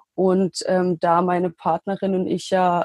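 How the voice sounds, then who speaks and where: A woman's fairly low voice, with a dry, close sound and no echo. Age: 20s. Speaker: trained geriatric nurse and health coach founder. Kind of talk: interview. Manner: hesitant with fillers.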